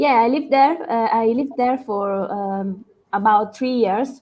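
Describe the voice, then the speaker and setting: Speaking at a fairly slow pace, a woman with an Italian accent has a fairly high pitch and a dark, mellow tone. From Italy. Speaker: guest. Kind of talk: casual chat.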